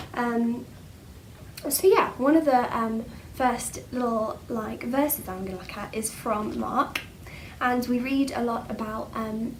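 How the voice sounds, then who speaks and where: A woman with a fairly high voice speaks at a fairly slow pace over noticeable background noise, with audible room echo. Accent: English. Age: 20s. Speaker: church speaker. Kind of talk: bible talk. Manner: hesitant, many fillers.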